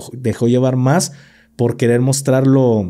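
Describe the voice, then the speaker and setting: A man speaks with a Mexican accent at a moderate pace. His tone is dark and mellow, and the background is quiet. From Mexico. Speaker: podcast host, former military; podcast host. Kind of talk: casual chat. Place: studio. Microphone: studio mic.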